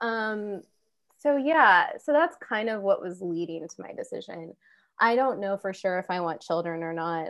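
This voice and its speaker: This woman has an unremarkable speaking voice at a medium pitch, with lively intonation. She talks at a moderate pace, and her loudness swings widely. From US Midwest, Kansas. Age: 30s. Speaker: guest, former podcast producer. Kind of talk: casual chat. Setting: remote call from a friend's home.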